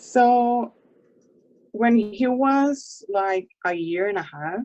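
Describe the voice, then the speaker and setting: At a very slow pace, a woman with a Spanish accent speaks in a fairly high pitch with lively intonation. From Puerto Rico. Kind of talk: interview.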